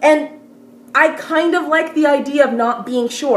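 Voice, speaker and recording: There is noticeable noise in the background. Through it, the woman talks at a moderate speed. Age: 20s. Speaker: recent university graduate. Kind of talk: casual talk to camera.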